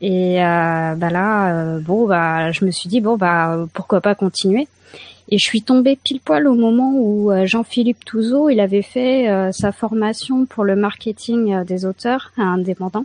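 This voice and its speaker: A woman talks very slowly, the sound dry and close with no echo at all. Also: medium pitch for a woman, ordinary pitch variation, quiet background. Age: 30s. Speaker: caller, amateur writer. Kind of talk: casual chat. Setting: video call.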